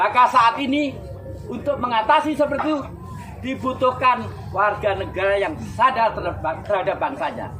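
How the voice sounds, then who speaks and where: Noticeable background noise is present throughout. The talking goes along at a fairly quick pace. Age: 70s. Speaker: speaker at youth pledge commemoration. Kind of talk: public speech. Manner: animated.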